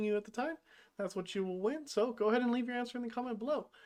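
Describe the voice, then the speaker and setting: Against a quiet background, a woman speaks in an upbeat tone. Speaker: gaming YouTuber. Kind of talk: gameplay commentary. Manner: casual, upbeat; fast.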